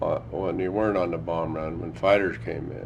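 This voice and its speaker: With an American accent, a man talks at a moderate pace in a very deep, low voice with ordinary pitch variation. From Idaho, USA. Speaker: World War II veteran. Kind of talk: oral history interview answer.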